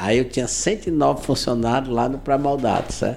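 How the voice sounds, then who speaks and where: At a moderate pace and a medium pitch, this man talks in a plain, everyday voice. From Ceará, Brazil. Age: 60s. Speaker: civil engineer and entrepreneur. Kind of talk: interview. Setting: in his office.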